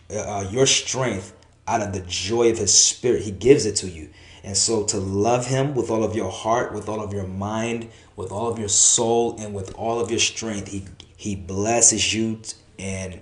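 Fairly slow, fairly even speech from a man with a fairly low pitch, plus audible room echo. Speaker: preacher. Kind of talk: sermon. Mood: earnest, encouraging. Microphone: phone near.

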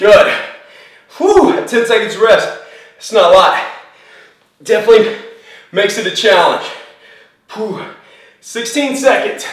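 A man's fairly slow speech with long, frequent pauses and big swings in loudness, audible room echo, quiet background. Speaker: fitness instructor. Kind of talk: workout instruction. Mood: upbeat, laughing. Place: studio.

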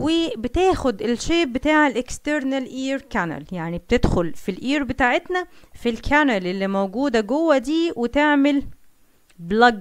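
With an Egyptian accent, a woman speaks at a fairly slow pace and high pitch, her voice making very wide pitch swings. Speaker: science teacher. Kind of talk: lecture.

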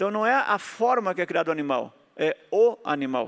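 This man has a high pitch. The background is quiet. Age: 50s. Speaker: health lecturer. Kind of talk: lecture. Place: stage. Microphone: handheld.

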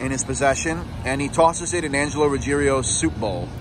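Fairly quick speech from a man with ordinary pitch variation, in a dry sound with no echo but noticeable background noise. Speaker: true crime tour guide. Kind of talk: commentary. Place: street. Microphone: phone near.

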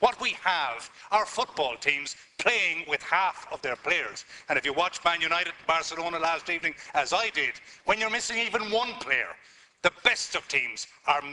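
At a moderate pace, a man is speaking. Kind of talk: parliamentary speech. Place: hall. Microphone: podium.

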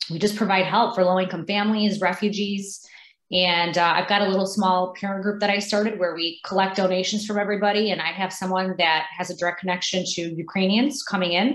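A woman speaks at a fairly quick pace with fairly even intonation and hardly any pauses, and there is audible room echo. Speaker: candidate. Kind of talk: interview answer. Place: home room. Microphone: video call.

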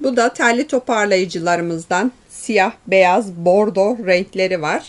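A woman speaks with ordinary pitch variation. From Turkey. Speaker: shop owner presenting products. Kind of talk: product presentation. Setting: in a shop. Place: shop.

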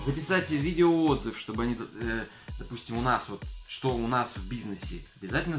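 A man at a moderate pace, ordinary pitch variation, faint music in the background. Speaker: business owner blogger. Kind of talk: casual vlog chat. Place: home room. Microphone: phone near.

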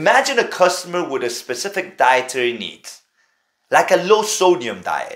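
Speaking at a moderate pace, a man has a fairly high pitch, big pitch swings and a fairly bright tone.

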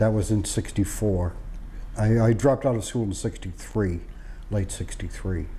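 A man with an American accent speaks at a very slow pace. Light background noise can be heard. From Boston, Massachusetts. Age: 50s. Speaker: war veteran. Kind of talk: oral history interview. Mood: reflective, matter-of-fact. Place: home room. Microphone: lapel.

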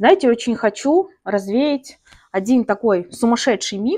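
Against a quiet background, a woman talks at a very slow pace in a fairly high pitch. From Karachay-Cherkessia, North Caucasus, Russia. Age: 30s. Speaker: plant-hobby video blogger. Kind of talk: casual vlog monologue. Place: home room. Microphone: lapel.

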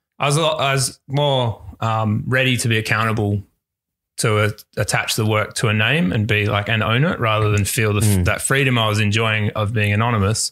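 With an Australian accent, a man speaks at a fairly low pitch with very even loudness and fairly even intonation on a very clean recording with a silent background. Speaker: visual artist. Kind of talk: casual chat. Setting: at home.

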